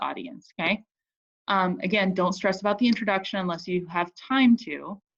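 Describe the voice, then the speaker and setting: A woman talks at a fairly quick pace, her medium pitch showing ordinary pitch variation. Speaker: high school English teacher. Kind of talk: recorded video lesson for students. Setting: Zoom screen recording. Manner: fairly fast; casual, filler-heavy with um.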